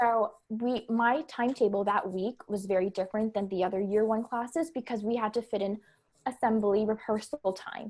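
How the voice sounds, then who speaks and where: With a Canadian accent, a woman in an unremarkable speaking voice talks at a moderate pace, her fairly high pitch held in fairly even intonation. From Canada. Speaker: elementary school teacher. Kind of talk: casual podcast conversation.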